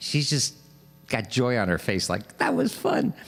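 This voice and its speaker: This man has a New York accent and a medium pitch. His intonation is lively. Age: 60s. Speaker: street musician and livestream host. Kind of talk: casual livestream chat between songs. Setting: live stream. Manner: halting, many fillers.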